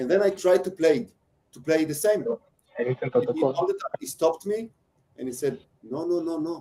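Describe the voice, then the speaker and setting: With an Israeli accent, a man talks in a high pitch with lively intonation and long, frequent pauses. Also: moderate pace. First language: Hebrew. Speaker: percussionist giving a masterclass. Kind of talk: masterclass with feedback to students; personal anecdote. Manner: halting, many fillers.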